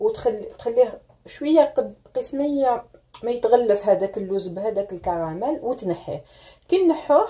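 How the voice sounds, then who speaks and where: In a high pitch, a woman speaks at a fairly slow pace. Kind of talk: tutorial. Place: kitchen. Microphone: phone near.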